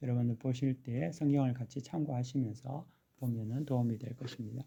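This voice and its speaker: Soft-spoken and somewhat breathy, the voice has a dark, mellow tone, fairly even intonation and a moderate pace. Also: man. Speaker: pastor. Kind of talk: sermon. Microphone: no microphone, power outage.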